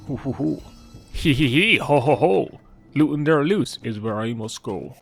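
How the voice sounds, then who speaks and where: A put-on character voice moves at a moderate pace with lively intonation. Faint music plays in the background. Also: man, medium pitch for a man. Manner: playful, gleeful cackling.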